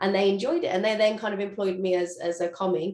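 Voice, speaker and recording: A woman with a Birmingham accent speaks very fast at a medium pitch. Her intonation is fairly even. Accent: Birmingham (Brummie). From England, Birmingham. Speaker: chef and social media cook. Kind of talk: interview. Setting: video call.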